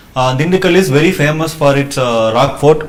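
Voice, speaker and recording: Amid noticeable background noise, a man talks at a fairly quick pace. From Tamil Nadu, India. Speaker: civil service exam candidate. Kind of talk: mock job interview. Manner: fast; hesitant with many uh fillers.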